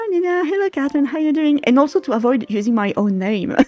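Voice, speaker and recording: A woman with a French accent speaks at a fairly quick pace, her intonation lively. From France. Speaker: game developer streamer. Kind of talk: casual livestream chat. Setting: livestream.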